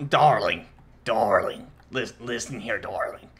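In a put-on character voice, a man speaks at a fairly slow pace, sounding gravelly and raspy.

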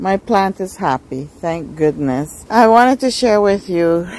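Speaking at a fairly slow pace with lively intonation, a woman is heard in a dry sound with no echo. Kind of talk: casual vlog chat. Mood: delighted about flowering. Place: garden. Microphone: phone near.

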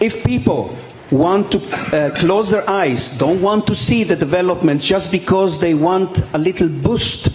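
Over faint background noise, a man with a high voice speaks at a fairly slow pace, with ordinary pitch variation and few pauses.

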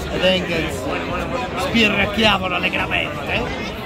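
A man speaks with crowd noise in the background. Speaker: food vlogger. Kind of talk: casual vlog chat. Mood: relaxed, mildly critical. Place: bar. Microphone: phone near.

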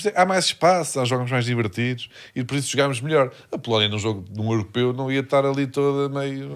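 A man speaks at a fairly quick pace in an unremarkable speaking voice. His pitch sits in the medium range and varies in an ordinary way. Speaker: comedy podcast co-host. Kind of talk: casual chat.

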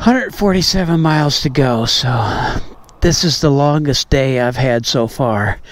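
A man's voice, dry and free of any echo. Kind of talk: casual vlog chat. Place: street. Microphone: phone near.

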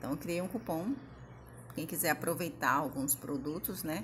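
The woman's voice is somewhat breathy. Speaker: Natura consultant and online seller. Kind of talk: sales pitch, online product promotion. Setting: screen-share video, home recording. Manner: friendly, chatty, pitchman-like; repetitive, filler-heavy, informal.

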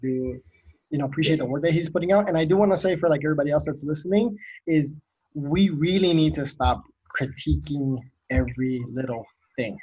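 Very fast and somewhat breathy, a man talks in a dark, mellow tone with ordinary pitch variation. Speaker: podcast host. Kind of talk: casual chat. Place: home room. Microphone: video call.

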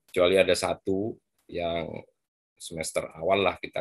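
Speech comes at a fairly slow pace against a quiet background. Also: man. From Madura, East Java, Indonesia; East Java, Indonesia. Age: 40s. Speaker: biology professor; lecturer guest speaker. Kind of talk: lecture. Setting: video call. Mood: relaxed, friendly. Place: home room. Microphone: video call.

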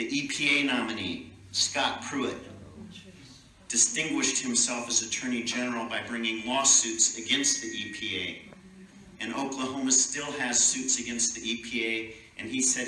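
With audible room echo and light background noise, a man speaks at a moderate pace and with fairly even intonation. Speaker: speaker. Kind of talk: rally speech. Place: hall. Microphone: camera far.

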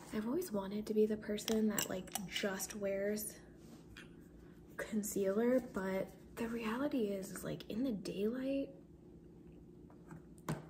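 Soft-spoken and relaxed in tone, a woman talks at a fairly slow pace and fairly high pitch, with long, frequent pauses over noticeable background noise. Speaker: ASMR content creator. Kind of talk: casual soft-spoken talk to camera. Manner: soft-spoken, relaxed. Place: kitchen. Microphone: phone near.

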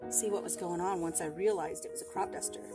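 A woman speaks with music playing in the background. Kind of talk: casual vlog chat. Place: farm machine. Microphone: camera far.

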